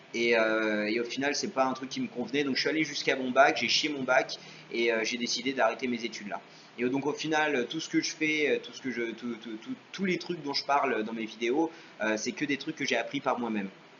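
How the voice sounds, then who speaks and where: Fairly quick delivery over noticeable background noise. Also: man, medium pitch for a man, ordinary pitch variation. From France, Paris. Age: 30s. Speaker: YouTuber. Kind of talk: Q&A vlog. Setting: home video recorded on webcam. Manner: hesitant, many fillers.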